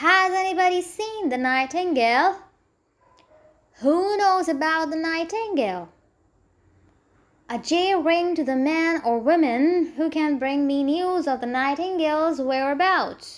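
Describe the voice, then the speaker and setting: A woman puts on a squeaky character voice at an extremely high pitch, speaking at a fairly slow pace with long, frequent pauses. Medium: read story. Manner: nervous, fussy.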